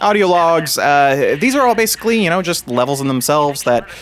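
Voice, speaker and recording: A man with a Kentucky accent, talking at a fairly quick pace with lively intonation over noticeable background noise. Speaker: gaming YouTuber. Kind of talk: gameplay commentary. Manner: casual, halting with many fillers.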